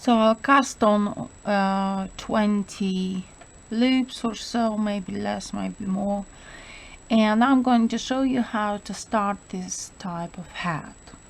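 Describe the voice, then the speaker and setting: A somewhat breathy woman with a non-native accent, at medium pitch and a very slow pace, with fairly even intonation. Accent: foreign. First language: not English. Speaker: knitting instructor. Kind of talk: tutorial. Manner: hesitant, many fillers.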